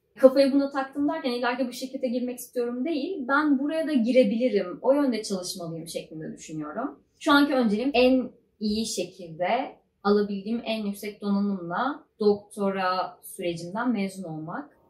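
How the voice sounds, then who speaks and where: Speaking at a moderate pace, a woman has a plain, everyday voice with a fairly high pitch and lively intonation. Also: hardly any pauses. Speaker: PhD student vlogger. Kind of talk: casual vlog monologue.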